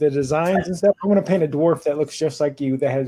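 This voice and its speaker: A fairly high-pitched man's voice, dark and mellow in tone, with ordinary pitch variation at a fairly quick pace. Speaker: battle report content creator. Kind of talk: casual chat. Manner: loud; animated.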